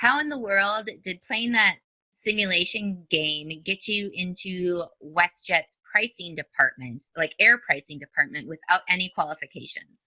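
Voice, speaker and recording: With a northern US accent, a woman of medium pitch speaks at a fairly slow pace with hardly any pauses, lively intonation and a bright, sharp tone, in a dry, close sound with no echo. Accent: northern US, long O's. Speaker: podcast host. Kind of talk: interview.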